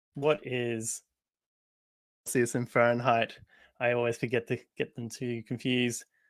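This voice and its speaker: In a bright, sharp tone, a man speaks at a very slow pace. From Australia. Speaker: software developer, library maintainer. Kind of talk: livestream chat. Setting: video call livestream.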